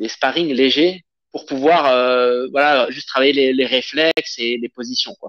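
Speaking at a fairly slow pace, a man has an unremarkable speaking voice at medium pitch. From southern France, Avignon. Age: 30s. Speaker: Brazilian jiu-jitsu instructor. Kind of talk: casual interview.

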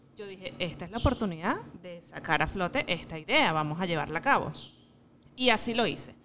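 Using a normal speaking voice, a woman talks at a fairly quick pace and medium pitch, her intonation lively and her loudness swinging widely. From Venezuela, Miranda state. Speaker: mother and small business owner. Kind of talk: interview. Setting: restaurant.

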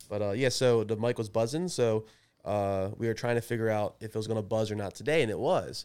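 A man with an American accent and an unremarkable speaking voice, at a medium pitch and fairly quick pace with ordinary pitch variation, on a very clean recording with a silent background. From Maryland, Baltimore area. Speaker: podcast co-host. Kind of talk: casual chat.

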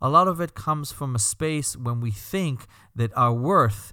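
In a very clean recording with a silent background, a man with a Belgian accent speaks at a moderate pace, his bright, sharp tone carrying lively intonation. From Belgium. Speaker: rabbi and podcast host. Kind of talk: scripted-style podcast introduction monologue.

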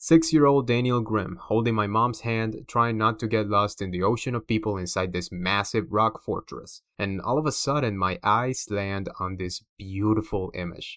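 A man with a Cuban accent and a fairly low pitch talks at a moderate pace with ordinary pitch variation and hardly any pauses, on a very clean recording with a silent background. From Cuba, Havana. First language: Spanish. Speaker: podcast host and comic book publisher. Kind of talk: scripted narration. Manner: animated.

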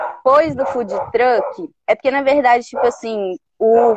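The woman's voice sits high in pitch. She talks at a very slow pace. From Brazil, Belo Horizonte. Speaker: engineer turned entrepreneur. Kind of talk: interview. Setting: video call.

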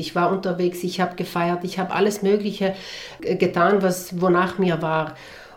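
Fairly even intonation and a moderate pace in a woman's voice of medium pitch. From South Tyrol, Italy. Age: 40s. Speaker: entrepreneur and beekeeper. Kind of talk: interview.

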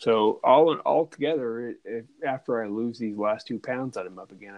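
A man talks in a normal speaking voice at a moderate pace. His pitch is medium, with ordinary pitch variation. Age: 40s. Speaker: podcast host. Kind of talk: casual chat.

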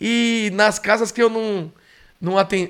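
A man with a high pitch is heard on a very clean recording with a silent background. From São Paulo, Brazil. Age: 40s. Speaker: dog trainer. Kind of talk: storytelling monologue.

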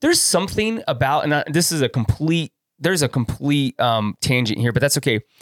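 Music in the background beneath a man with an American accent, fairly high in pitch and fairly quick, with lively intonation, very even loudness and a dry, close sound with no echo. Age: 40s. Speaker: videographer and photographer. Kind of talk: casual chat. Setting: studio.

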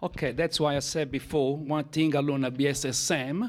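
The man's voice sits fairly high in pitch. It rises and falls an ordinary amount. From Italy. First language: Italian. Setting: church.

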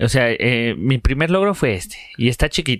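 A man with a Mexican accent speaks with lively intonation. The recording is very clean with a silent background and a dry, close sound with no echo. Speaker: comedy podcast co-host. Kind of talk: casual chat.

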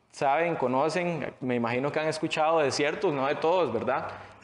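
Against audible room echo, a man with a fairly high pitch speaks at a moderate pace with ordinary pitch variation. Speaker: rapper and barber. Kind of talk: interview.

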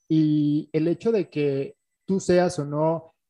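With a Mexican accent, the voice has a dark, mellow tone, fairly even intonation and a dry, close sound with no echo. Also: man. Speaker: podcast co-host. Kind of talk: casual chat. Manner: halting.

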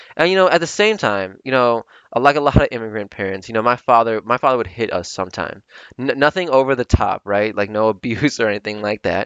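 A very fast pace with lively intonation. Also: man. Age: 20s. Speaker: podcast host. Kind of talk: solo reflective monologue. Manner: halting, many filler words.

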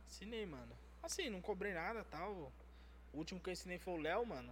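Audible room echo surrounds the recording. A man talks at a very fast pace. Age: 20s. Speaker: tattoo artist. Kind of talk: casual chat.

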